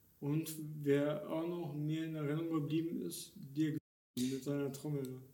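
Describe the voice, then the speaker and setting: A man with a fairly high pitch and a dark, mellow tone speaks slowly in a flat monotone, with audible room echo around him. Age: 40s. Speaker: singer in an inclusive rock band. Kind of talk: casual chat. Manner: halting, repeats words.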